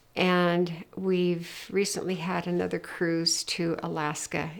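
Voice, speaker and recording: On a very clean recording with a silent background, a woman talks with a fairly low pitch. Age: 80s+. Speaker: retired missionary. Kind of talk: life story interview.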